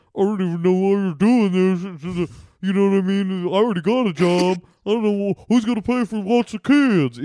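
Recorded dry and close with no echo, a man puts on a high-pitched character voice, moving at a moderate pace with ordinary pitch variation. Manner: snide, defensive.

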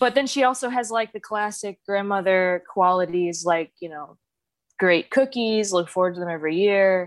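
A woman has an ordinary speaking voice at a medium pitch, with ordinary pitch variation. She keeps a moderate pace, but her loudness takes big swings. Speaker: caller seeking advice. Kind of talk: casual conversation, personal story. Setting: video call.

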